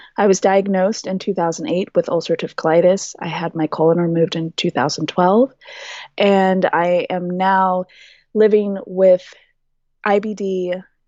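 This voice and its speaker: A woman speaks in a normal speaking voice. Her pace is moderate. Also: medium pitch for a woman, fairly even intonation. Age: 30s. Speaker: health advocate. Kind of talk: podcast interview.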